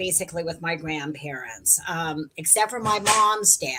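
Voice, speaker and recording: A woman talks fairly slowly amid noticeable background noise. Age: 60s. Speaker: live stream participant. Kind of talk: casual chat.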